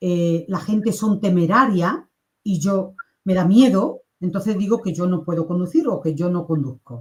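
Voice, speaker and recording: A woman's somewhat breathy voice with an Andalusian accent, medium pitch and ordinary pitch variation. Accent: Andalusian (Seville), kept. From Spain, Seville province (Andalusia). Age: 50s. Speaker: NLP coach. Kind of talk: casual chat. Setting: live stream.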